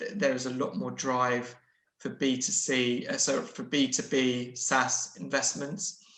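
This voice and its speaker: A bright, sharp tone at a very slow pace, with audible room echo. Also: man. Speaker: investment adviser. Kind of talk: webinar Q&A answer. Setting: online webinar. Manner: halting, self-correcting.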